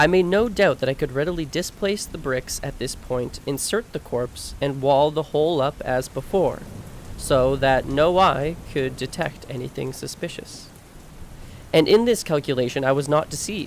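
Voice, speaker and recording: Soft-spoken, this man has a fairly high pitch. He keeps a moderate pace with ordinary pitch variation. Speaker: audiobook narrator. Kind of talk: reading aloud.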